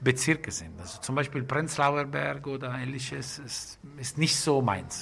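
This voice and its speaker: At a fairly slow pace, a man with an Italian accent speaks with ordinary pitch variation and big swings in loudness. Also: medium pitch for a man. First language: Italian (speaking German). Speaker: bakery and restaurant owner. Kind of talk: casual interview. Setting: in a restaurant. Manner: halting. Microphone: muffled by face mask.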